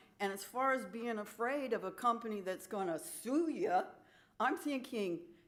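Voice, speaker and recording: There's audible room echo as a woman talks at a moderate pace. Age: 70s. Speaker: resident giving public comment. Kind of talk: public comment at council meeting.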